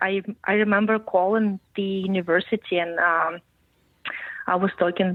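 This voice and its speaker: A woman speaks with a monotone, flat intonation. Her pace is moderate. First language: Russian. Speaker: podcast guest, journalism student. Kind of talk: interview conversation.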